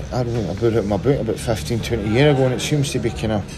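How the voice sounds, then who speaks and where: A man in a Glaswegian accent talks at a very fast pace, with audible room echo and noticeable background noise. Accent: Glaswegian Scottish. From Scotland, Glasgow (Castlemilk). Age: 40s. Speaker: retired professional footballer. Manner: halting.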